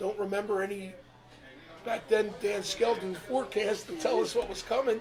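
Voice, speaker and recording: Noticeable background noise accompanies a man with an American accent who speaks at a high pitch and moderate pace with fairly even intonation. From New Jersey Shore (Ventnor). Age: 70s. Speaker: longtime shore resident. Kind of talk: casual interview, storytelling. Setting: live show in a pub.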